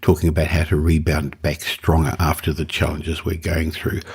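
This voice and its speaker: A man's very deep, low voice, somewhat breathy, at a fairly quick pace. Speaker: podcast host. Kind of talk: podcast intro.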